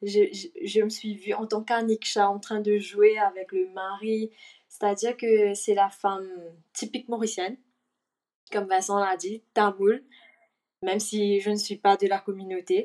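Pausing long and often, a woman speaks at a fairly slow pace. Her medium-pitched voice is monotone and flat. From Mauritius. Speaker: actress. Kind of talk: casual interview. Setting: video call from Mauritius. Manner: mixes English words into French.

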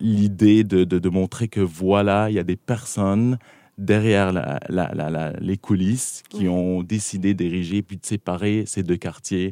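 On a very clean recording with a silent background and a dry, close sound with no echo, a man speaks very slowly, his dark, mellow voice fairly low in pitch with ordinary variation. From southern Lebanon. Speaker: filmmaker. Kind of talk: casual interview.

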